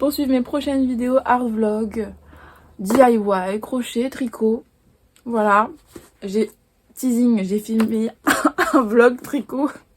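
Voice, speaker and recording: At a very slow pace with long, frequent pauses, a woman speaks in a fairly high voice with fairly even intonation. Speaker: illustrator and art vlogger. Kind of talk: casual vlog talk to camera.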